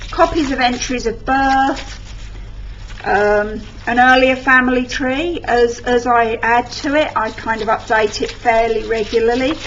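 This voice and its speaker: Noticeable background noise sits behind a woman with an English accent. Her pitch is high with ordinary variation, and she speaks at a fairly slow pace. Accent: English accent, mistaken for London. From England. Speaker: scrapbooking vlogger. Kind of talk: tutorial. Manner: casual.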